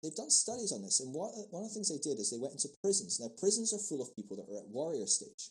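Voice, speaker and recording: A man with an American accent talks at a very fast pace in a fairly high voice, his pitch swinging very widely, with vocal fry and hardly any pauses. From Scotland and England. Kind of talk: casual interview chat.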